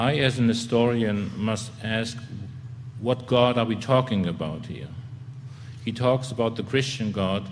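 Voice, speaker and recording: A man's medium-pitched voice at a fairly slow pace with long, frequent pauses, audible room echo and noticeable background noise. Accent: German. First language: German. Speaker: theologian and historian. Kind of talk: formal debate. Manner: halting.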